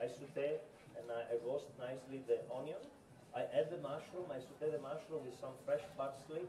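Through audible room echo and light background noise, a man with an Italian accent and a fairly high pitch talks at a moderate pace with fairly even intonation. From Italy. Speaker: chef. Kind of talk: cooking demonstration. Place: shop.

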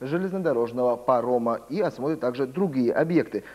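Lively in intonation, a man speaks with a dark, mellow tone. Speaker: news anchor. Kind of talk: news reading. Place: studio. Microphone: lapel.

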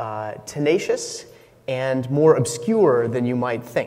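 A man is speaking. He goes at a very slow pace. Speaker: conference speaker. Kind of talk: conference talk. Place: stage.

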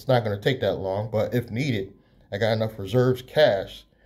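With ordinary pitch variation, a man is speaking. He is somewhat breathy and keeps a moderate pace. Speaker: entrepreneur YouTuber. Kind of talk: casual vlog monologue. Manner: casual with many fillers. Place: home room. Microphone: phone near.

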